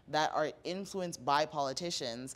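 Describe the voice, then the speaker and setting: This woman speaks with a very deep, low pitch and ordinary pitch variation. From Toronto, Canada. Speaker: mayoral candidate and policy analyst; candidate, policy analyst. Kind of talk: casual interview chat. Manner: animated. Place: studio. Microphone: handheld.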